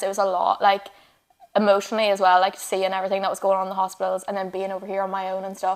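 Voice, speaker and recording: A woman talks at a very fast pace with a strong Northern Irish accent. Her pitch is medium. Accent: Northern Irish, still strong. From Northern Ireland, Fermanagh. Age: 20s. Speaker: radiographer and online fitness coach. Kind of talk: casual interview chat.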